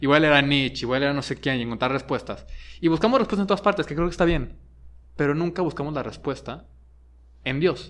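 In a Mexican accent, a man talks at a very fast pace with ordinary pitch variation. Long, frequent pauses break up his speech against a quiet background. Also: fairly high pitch for a man. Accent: Mexican Spanish (Jalisco). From Mexico, Guadalajara. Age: 30s. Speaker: high school teacher and podcast co-member. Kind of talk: casual interview. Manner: halting, many fillers and repetitions.

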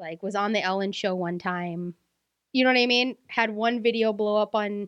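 A plain, everyday voice from a woman, fairly high in pitch, at a fairly slow pace with fairly even intonation. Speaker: podcast host. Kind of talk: casual chat.

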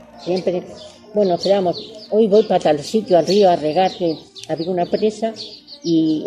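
A woman with a fairly low pitch talks at a moderate pace with ordinary pitch variation. There is noticeable background noise. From Salamanca province, Spain. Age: 70s. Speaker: elderly villager sharing memories. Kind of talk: oral history interview.

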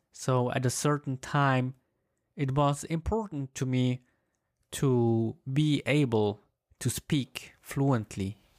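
At a very slow pace, a man with a Swiss German accent and a medium pitch speaks at very even loudness on a very clean recording with a silent background. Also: ordinary pitch variation, dry, close sound with no echo. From German-speaking Switzerland. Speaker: language learner sharing story. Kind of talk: personal storytelling monologue. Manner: halting, repeats words.

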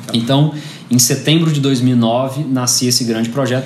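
Amid noticeable background noise and audible room echo, the speaker goes at a fairly slow pace with fairly even intonation. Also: man. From Brazil, Goiás (Goiânia). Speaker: entrepreneur. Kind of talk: interview.

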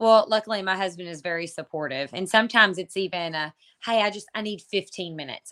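A woman in a Kentucky accent with a bright, sharp tone, moderate pace and ordinary pitch variation, on a very clean recording with a silent background. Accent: Kentucky Southern US. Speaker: online entrepreneur and mom. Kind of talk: casual interview chat.

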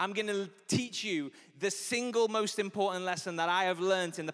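Here a man is speaking. His pace is fairly quick. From Liverpool, England. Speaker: pastor. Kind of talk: sermon. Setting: church stage with audience. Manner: animated.

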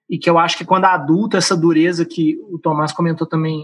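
Fairly even in intonation, a man's voice sits at a high pitch. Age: 20s. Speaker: singer and voice professional. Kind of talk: casual chat.

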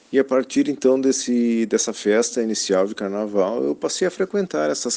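With a dark, mellow tone at medium pitch, a man speaks in lively intonation. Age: 40s. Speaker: swing club patron. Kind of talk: testimony.

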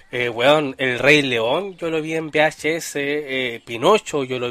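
Very slowly, a man with a Chilean accent speaks in a fairly high voice with ordinary pitch variation. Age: 20s. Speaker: podcast host. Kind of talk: casual livestream podcast chat. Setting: live stream with chat.

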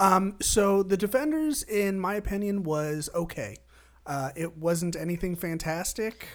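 A woman speaks at a medium pitch in an unremarkable speaking voice. Her pace is fairly slow and her intonation lively. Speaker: podcast host. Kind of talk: casual chat.

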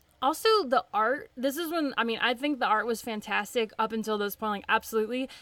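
With a slight Southern US accent, a woman at a fairly high pitch talks at a fairly quick pace in a bright, sharp, animated and enthusiastic tone, with ordinary pitch variation and hardly any pauses. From Tennessee, US South. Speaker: comic book podcast host. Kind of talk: casual chat, podcast discussion. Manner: animated, enthusiastic.

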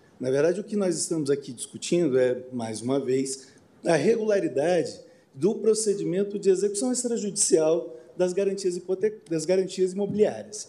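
Lively intonation and a dark, mellow tone mark this man's high-pitched voice, which moves at a moderate pace through audible room echo. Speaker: lawyer. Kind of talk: oral argument. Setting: court plenary session. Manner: halting.

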